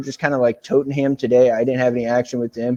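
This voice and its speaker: Speaking with an American accent, a man has a dark, mellow tone. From US South, Tennessee. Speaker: sports betting tipster. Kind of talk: casual betting picks rundown. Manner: casual, with many fillers and false starts.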